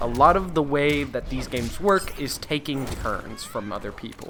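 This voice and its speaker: A man speaks at a moderate pace in a fairly high pitch for a man, with noticeable background noise. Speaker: gaming YouTuber. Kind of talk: tutorial.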